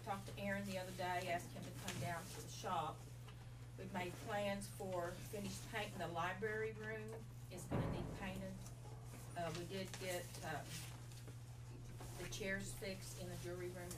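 Loud background noise runs under a woman's moderate-paced speech. She leaves long, frequent pauses. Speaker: county staff giving report. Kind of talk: meeting report. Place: meeting room. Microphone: camera far.

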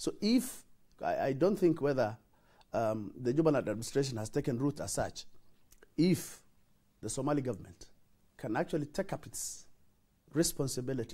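Speaking at a moderate pace with long, frequent pauses, a man with a dark, mellow, somewhat breathy tone uses lively intonation over a quiet background. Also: fairly high pitch for a man. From northeastern Kenya, Wajir; northeastern Kenya. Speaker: senator. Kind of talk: TV interview. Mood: earnest, explanatory. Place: studio. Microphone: lapel.

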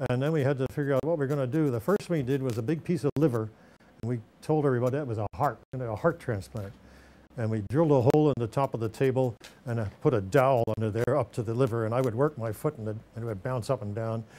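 A man talks at a very fast pace with ordinary pitch variation. His tone is dark and mellow. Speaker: horror host interviewee. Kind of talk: interview answer. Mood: amused storytelling. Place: home room.

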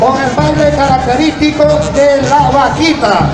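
With music playing behind him, a man talks at a fairly slow pace. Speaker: event announcer. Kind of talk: commentary. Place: street.

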